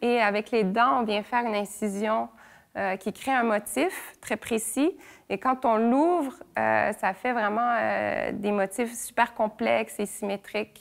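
Against a quiet background, a woman with a fairly high pitch talks at a very slow pace with ordinary pitch variation. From Quebec and Brittany, France; Quebec. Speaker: visual artist. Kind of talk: interview monologue. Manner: hesitant, many fillers. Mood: calm, thoughtful. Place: workshop.

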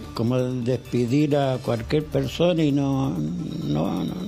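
With faint music in the background, a man speaks at a very slow pace. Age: old. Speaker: retired night-shift building concierge. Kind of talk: interview answer. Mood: aggrieved, hesitant. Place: home room. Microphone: handheld.

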